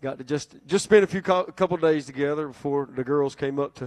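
Very rapid speech from a man. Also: quiet background. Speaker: pastor giving announcements. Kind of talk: sermon. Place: church. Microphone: handheld.

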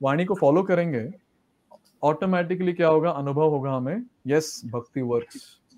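Speaking at a very slow pace, a man uses a fairly high voice. His pitch varies in an ordinary way. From Mumbai, India; India. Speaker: monk and former engineer; guest. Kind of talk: interview. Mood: cheerful, smiling. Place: studio. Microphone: lapel.

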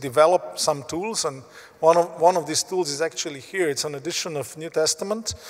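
A man speaks with a Slovenian accent at a moderate pace. His pitch sits fairly high. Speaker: Bible society leader; guest. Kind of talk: interview. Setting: stage with audience. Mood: calm, engaged. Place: hall. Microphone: handheld.

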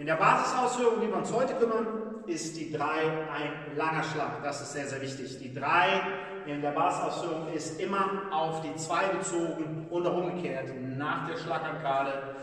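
A man at a moderate pace with ordinary pitch variation, in strong room echo. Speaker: boxing coach. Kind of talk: tutorial. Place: gym. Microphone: camera far.

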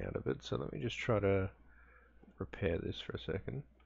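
A man's fairly low voice with vocal fry and very wide pitch swings, at a moderate pace. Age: 30s. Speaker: gaming youtuber. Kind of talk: let's play commentary. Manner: casual, laughing often.

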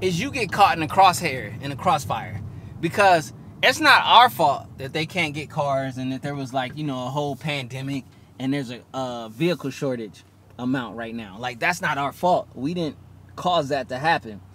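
Over light background noise in a dry sound with no echo, a man talks at a moderate pace in a bright, sharp tone with ordinary pitch variation. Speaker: car owner vlogger. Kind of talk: casual vlog chat. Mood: frustrated, emphatic. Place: car.

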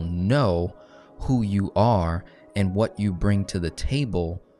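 The man's voice sits fairly low, with faint music in the background. The sound is dry with no echo. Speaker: finance teacher. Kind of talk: lecture. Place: meeting room.

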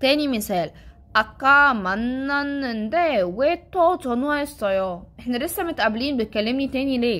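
A woman with a high pitch talks at a moderate pace, her intonation lively. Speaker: Korean language teacher. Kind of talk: tutorial.

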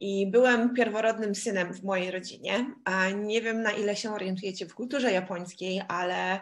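The background is quiet. At a moderate pace, an ordinary speaking voice keeps its intonation fairly even. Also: woman. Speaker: interpreter. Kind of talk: live interpretation.

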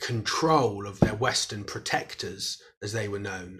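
The man's voice comes across as somewhat breathy. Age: 30s. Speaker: historian and author. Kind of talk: interview.

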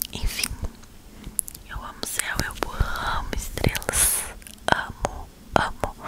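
Whispering with big swings in loudness, a woman leaves long, frequent pauses. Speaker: ASMR creator. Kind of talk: ASMR whispered talk to camera. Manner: whispered. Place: home room. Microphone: lapel.

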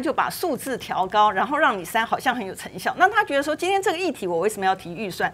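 A woman's high voice at a very fast pace, with very wide pitch swings. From Taiwan. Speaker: legislator; TV panel commentator. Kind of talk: political talk show panel. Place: studio. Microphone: lapel.

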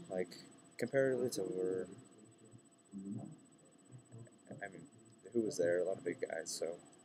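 Over noticeable background noise, a man speaks with a dark, mellow tone. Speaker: vlogger. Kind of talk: casual vlog chat. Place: station. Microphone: webcam.

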